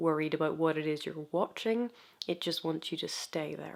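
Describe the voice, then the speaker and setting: At a moderate pace, a woman is talking. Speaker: YouTube video essayist. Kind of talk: video essay talk to camera. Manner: soft-spoken.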